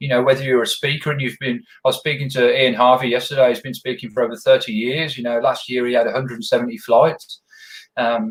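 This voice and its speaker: A man's medium-pitched, somewhat breathy voice with a strong Birmingham accent, very fast pace and ordinary pitch variation. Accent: Birmingham, thick. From England, Birmingham. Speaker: podcast host. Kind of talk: interview podcast chat.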